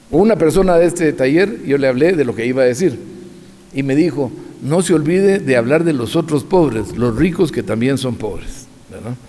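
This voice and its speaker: With audible room echo, a man talks in a fairly high voice and lively intonation. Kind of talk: lecture. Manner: fast.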